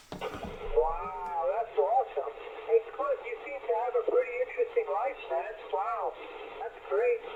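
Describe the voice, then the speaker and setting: With an American accent and very wide pitch swings, a man talks at a moderate pace over noticeable background noise. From New York, the Bronx. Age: 50s. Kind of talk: casual chat. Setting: radio transmission.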